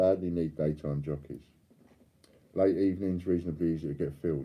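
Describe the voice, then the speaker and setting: A man with a London accent and a very deep, low pitch speaks at a very fast pace with fairly even intonation. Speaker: coin dealer and live stream host. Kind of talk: live stream chat reading viewer comments. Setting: live stream.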